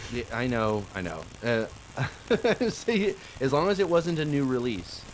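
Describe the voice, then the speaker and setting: The voice moves at a fairly slow pace with very wide pitch swings. Noticeable background noise runs underneath. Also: man, medium pitch for a man. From Oklahoma, US. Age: 30s. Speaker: podcast guest, content creator. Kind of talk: casual chat.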